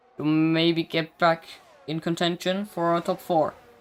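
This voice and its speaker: With a non-native accent, the speaker keeps a moderate pace. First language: not English. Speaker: sim racing commentator. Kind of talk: live commentary. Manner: halting; animated.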